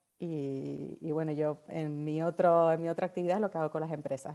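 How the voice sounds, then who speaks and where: A woman with a Canarian accent, a dark, mellow tone, fairly low pitch and moderate pace on a very clean recording with a silent background. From Canary Islands. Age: 40s. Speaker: novelist and marketing consultant. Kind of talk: podcast interview.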